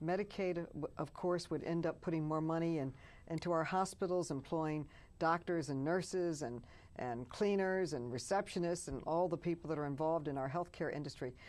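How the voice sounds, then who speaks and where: With an American accent, a woman talks at a fairly quick pace in an ordinary speaking voice with ordinary pitch variation over a quiet background. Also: fairly low pitch for a woman. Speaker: politician. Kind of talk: interview answer.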